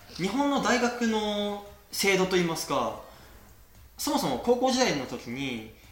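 A high-pitched man with very wide pitch swings, at a fairly slow pace, amid noticeable background noise and audible room echo. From Kagoshima, Japan. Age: 20s. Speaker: sommelier. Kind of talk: interview. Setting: host's home in Berlin.

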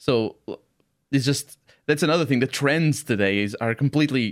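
At a moderate pace, a man with a Portuguese accent talks with lively intonation. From Portugal. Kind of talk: casual chat.

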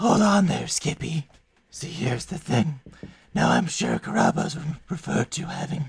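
A man does a put-on character voice, pitched fairly high and delivered at a moderate pace. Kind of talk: fantasy game character voice. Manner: smug, sly, sardonic.

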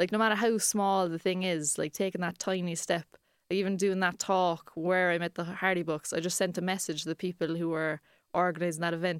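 In a monotone, flat intonation, a woman with a medium pitch speaks at a fairly quick pace. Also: very clean recording, silent background. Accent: Cork. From Ireland, Cork. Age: 20s. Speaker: comedian. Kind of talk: casual chat.

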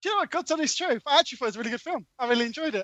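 This man's voice is extremely high in pitch, with lively intonation. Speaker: podcast co-host. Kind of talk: casual banter among friends.

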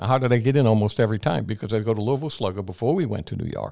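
A man's dark, mellow voice at a medium pitch, very fast and lively in intonation, on a very clean recording with a silent background. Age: 80s+. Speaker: salesman and speaker. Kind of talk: interview with personal stories. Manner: energetic.

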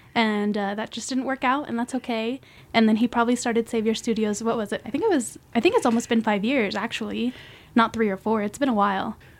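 A woman with an American accent, fairly high pitched and fairly even in intonation, at a very fast pace. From Reno, Nevada, US. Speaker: art history graduate and curator. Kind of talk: casual interview.

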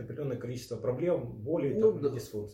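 A man's fairly high, somewhat breathy voice with a dark, mellow tone, lively intonation, and a fairly quick pace. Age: 40s. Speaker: osteopath and body-practice trainer. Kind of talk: interview.

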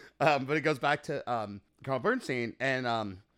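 An unremarkable speaking voice from a man at medium pitch, with ordinary pitch variation, on a very clean recording with a silent background. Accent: American. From Chicago suburbs, US Midwest. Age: 40s. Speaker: musician. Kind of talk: casual chat.

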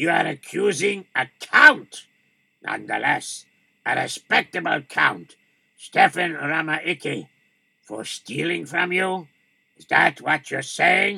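A raspy, high-pitched man talks at a fairly slow pace, his loudness swinging widely. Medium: read story. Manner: stern, questioning.

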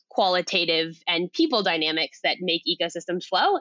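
A fairly low-pitched woman with a Californian accent, at a fairly quick pace. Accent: Californian American. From California, US. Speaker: food systems consultant, CEO. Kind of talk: interview.

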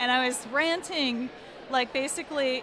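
At a very slow pace, a raised, projected voice with ordinary pitch variation comes through audible room echo and noticeable background noise. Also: woman. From Minnesota (Minneapolis). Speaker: design and marketing company founder. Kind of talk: personal storytelling. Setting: story booth at a conference. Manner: halting, with fillers.

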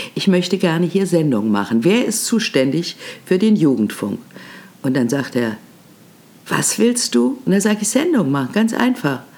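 A woman's pitch swings very widely, with long, frequent pauses. Noticeable background noise sits behind her. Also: moderate pace. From Germany, Berlin. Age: 80s+. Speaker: podcast host, veteran radio and TV presenter. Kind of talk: storytelling monologue. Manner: animated.

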